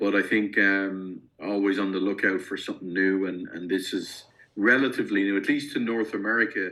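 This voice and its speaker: Talking at a fairly quick pace, a man with an Irish accent has a fairly low pitch, a bright, sharp tone and fairly even intonation. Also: quiet background. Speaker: company founder, investment specialist. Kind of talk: podcast interview. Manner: hesitant, many fillers and restarts.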